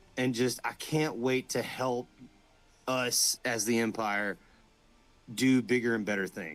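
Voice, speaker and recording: Delivered at a fairly slow pace in a Southern US accent, the speech has ordinary pitch variation and long, frequent pauses. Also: man, medium pitch for a man. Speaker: LARP player, first-time attendee. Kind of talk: casual chat.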